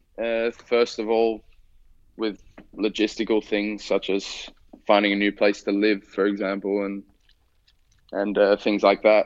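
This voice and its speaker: Speaking with an Australian accent, a man with a fairly low pitch talks in a flat, monotone way, leaving long, frequent pauses. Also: fairly slow pace. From Australia, Sydney. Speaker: professional footballer. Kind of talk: interview. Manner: halting, repeats words.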